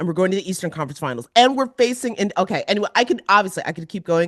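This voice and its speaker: Against a quiet background, a woman talks in an animated tone with lively intonation. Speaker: podcast co-host. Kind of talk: casual chat.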